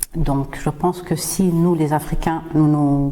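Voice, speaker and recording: A woman speaks in a Swahili accent with a very deep, low pitch. Her pace is very slow and her intonation monotone and flat. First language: Swahili (speaking French). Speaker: podcast host and singer. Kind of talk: podcast monologue. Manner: hesitant, frequent fillers.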